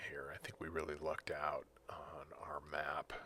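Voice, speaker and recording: A quiet, calm voice at a fairly slow pace. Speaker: gaming video creator. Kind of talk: gameplay commentary. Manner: quiet, calm announcer-like; hesitant, many fillers.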